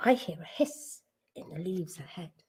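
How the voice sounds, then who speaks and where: Using a put-on character voice at medium pitch, a woman speaks at a moderate pace with very wide pitch swings. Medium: read story. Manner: gruff, big.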